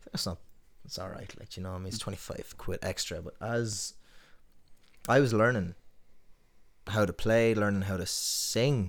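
A man with a western Irish accent and a fairly low pitch, speaking at a moderate pace, big swings in loudness, long and frequent pauses, on a very clean recording with a silent background. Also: ordinary pitch variation. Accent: western Irish (Tuam). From Tuam, west of Ireland. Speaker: singer-songwriter. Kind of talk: casual podcast interview.

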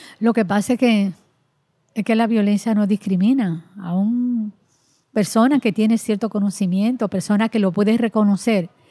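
A woman with a dark, mellow, somewhat breathy tone keeps her loudness very even and her intonation fairly even, speaking at a moderate pace. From Dominican Republic, rural La Vega. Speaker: women's rights activist, nonprofit director. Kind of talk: interview. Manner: halting, repeats words.

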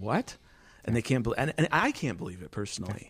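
A man's ordinary speaking voice at medium pitch with lively intonation, on a very clean recording with a silent background. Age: 40s. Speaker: journalism professor. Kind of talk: casual chat. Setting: studio.

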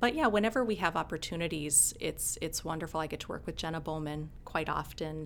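With an Upper Midwest accent, a woman talks at a fairly quick pace in a very deep, low pitch, with hardly any pauses. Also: ordinary pitch variation. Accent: Upper Midwest American. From Minnesota. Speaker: county communications officer, former TV news anchor. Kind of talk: casual interview chat.

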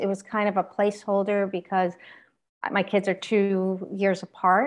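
A woman has a plain, everyday voice at a medium pitch, speaking at a fairly slow pace. The background is quiet. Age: 50s. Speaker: motivational speaker and author. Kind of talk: casual interview.

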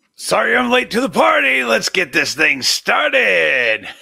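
A man's growling put-on character voice, high-pitched, at a moderate pace. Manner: snarling.

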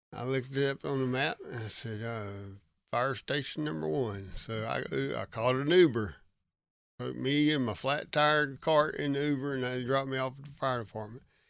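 Against a very clean recording with a silent background, a man with a North Carolina accent speaks at a moderate pace, medium in pitch with ordinary pitch variation. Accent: Southern US (North Carolina). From North Carolina, Lincoln County. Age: 50s. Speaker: retired highway patrol officer with Parkinson's. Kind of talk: casual interview storytelling.

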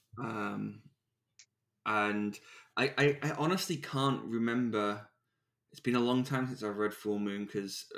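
Fairly low in pitch, a man speaks at a moderate pace with fairly even intonation. The recording is very clean, the background silent. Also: long, frequent pauses. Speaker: podcast host. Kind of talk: casual chat.

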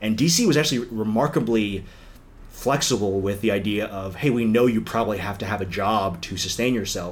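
At a moderate pace and fairly low pitch, a man with an American accent speaks amid audible room echo. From US, northern Virginia (DC suburbs). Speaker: political consultant. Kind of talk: interview.

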